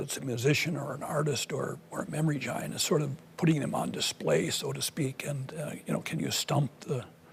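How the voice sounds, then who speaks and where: Over noticeable background noise, a man with an American accent speaks at a moderate pace, his fairly high pitch showing ordinary variation. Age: 70s. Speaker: savant syndrome expert. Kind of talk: public presentation.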